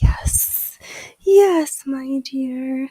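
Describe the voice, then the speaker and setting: A woman puts on a character voice at a high pitch. She cackles. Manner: cackling.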